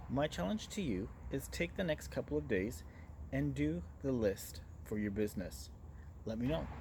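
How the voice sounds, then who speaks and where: Speaking at a very deep, low pitch, a man has a dark, mellow tone with vocal fry and very wide pitch swings. He keeps a moderate pace but leaves long, frequent pauses. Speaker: business marketing talk show host. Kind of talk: monologue presentation to camera. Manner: loud and direct.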